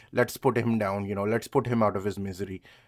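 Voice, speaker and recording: At a moderate pace, a man with a non-native accent speaks at a fairly low pitch. The recording is very clean, with a silent background. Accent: trouble with V and W sounds. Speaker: vlogger. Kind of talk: casual monologue. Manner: halting, many fillers.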